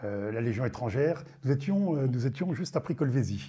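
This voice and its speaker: A man's medium-pitched, dark, mellow, somewhat breathy voice at a moderate pace, with ordinary pitch variation. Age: 60s. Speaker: retired army general. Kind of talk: testimony. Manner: hesitant, many fillers.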